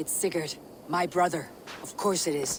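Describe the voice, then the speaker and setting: Over clear background noise, a man does a put-on character voice at a high pitch and a moderate pace. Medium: video game. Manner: blunt, hard.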